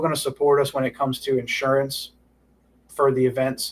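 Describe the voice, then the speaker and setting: A man speaks at a fairly quick pace. His pitch sits fairly high. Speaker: club director hosting a town hall livestream. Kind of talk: informal livestream town hall. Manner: fast; casual with many filler words.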